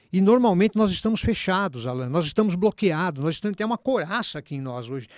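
Recorded very cleanly against a silent background, with a dry, close sound and no echo, a man talks at a high pitch with lively intonation. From São Paulo state, Brazil. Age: 60s. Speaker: musician. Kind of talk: casual chat. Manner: animated.

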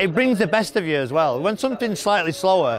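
Dry sound with no echo over noticeable background noise. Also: man. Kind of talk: interview answer. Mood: enthusiastic, reflective. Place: street. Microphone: lapel.

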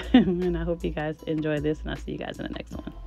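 A woman talks at a fairly quick pace. Music plays in the background, and the sound is dry with no echo. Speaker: shopping vlogger. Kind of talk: casual vlog voiceover.

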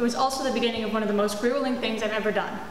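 A high-pitched woman's voice with audible room echo and light background noise. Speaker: presenter. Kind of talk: school presentation talk. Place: hall.

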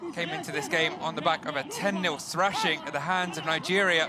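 A man talks in a high pitch with monotone, flat intonation. Music plays in the background. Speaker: football commentator. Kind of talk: football match highlights commentary. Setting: voiceover over match highlights.

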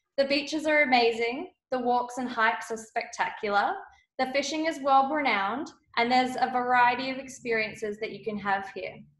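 A woman with an Australian accent, high pitch, ordinary pitch variation and a moderate pace. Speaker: travel designer. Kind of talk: webinar presentation. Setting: video call.

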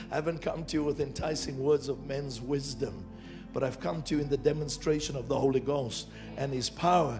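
With clear music behind him, a man talks at a moderate pace. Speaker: preacher, church minister; preacher. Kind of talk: sermon preached to a congregation. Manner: energetic, emphatic, conversational. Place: stage. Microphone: handheld.

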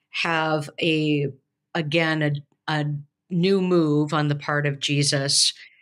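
The woman speaks with a very deep, low pitch. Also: quiet background. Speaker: podcast co-host, professor. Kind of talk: podcast discussion on scripture. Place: home room. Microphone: video call.

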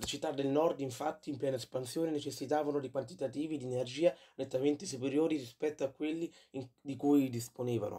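Speaking at a very fast pace, a man with a fairly high pitch and a dark, mellow tone keeps his intonation fairly even. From Rome, Italy. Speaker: YouTuber. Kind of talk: informative video monologue. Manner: hesitant, frequent fillers.

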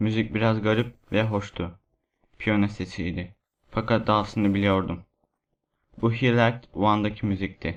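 Against a quiet background, a man speaks at a fairly slow pace in a dramatic tone, though his intonation stays monotone and flat. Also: fairly low pitch for a man. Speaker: voice actor narrating creepypasta. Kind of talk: ghost story telling, first-person horror narration. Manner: hushed, suspenseful, dramatic.

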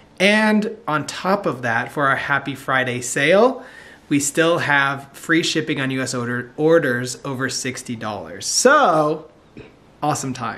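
The man's pitch is fairly high, and his intonation is lively. He speaks at a very slow pace. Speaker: vlogger, husband and dad. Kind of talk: casual vlog chat. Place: home room. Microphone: phone near.

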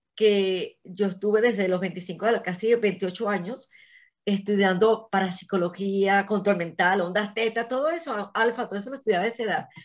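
The background is quiet while a woman speaks. Her pace is fairly slow, with ordinary pitch variation. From Venezuela, Caracas. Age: 60s. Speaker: engineer and astrologer; interview guest. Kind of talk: interview. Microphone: video call.

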